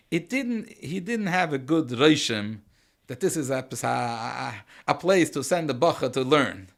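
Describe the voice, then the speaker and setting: This man's fairly high voice carries vocal fry and very wide pitch swings. He speaks at a fairly slow pace on a very clean recording with a silent background. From Switzerland. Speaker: rabbi. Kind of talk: interview storytelling. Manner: halting, repeats words.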